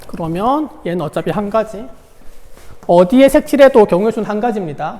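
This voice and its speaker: A man's voice at a moderate pace with lively intonation. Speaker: high school math teacher. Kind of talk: online lecture.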